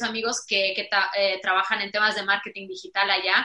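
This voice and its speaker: Fairly quick speech from a woman, bright and sharp in tone. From Romania. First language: Romanian (speaking Spanish). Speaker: digital business consultant. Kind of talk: casual chat.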